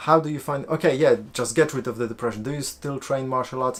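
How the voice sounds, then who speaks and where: A man with a Polish accent and ordinary pitch variation. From Poland. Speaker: life coach and video creator. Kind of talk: live-stream Q&A. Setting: live stream on camera at home. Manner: halting, many fillers.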